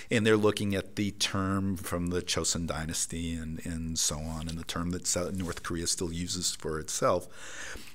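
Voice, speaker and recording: A man with an American accent speaks in a very deep, low pitch and a monotone, flat intonation, at a moderate pace with hardly any pauses. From United States. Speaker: professor. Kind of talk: interview.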